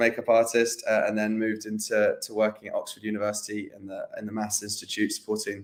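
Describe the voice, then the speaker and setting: A man speaks very fast with an English accent. His pitch is medium. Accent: English rather than Scottish. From southern England (London, Northamptonshire). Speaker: interview guest. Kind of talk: casual interview. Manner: hesitant, many fillers.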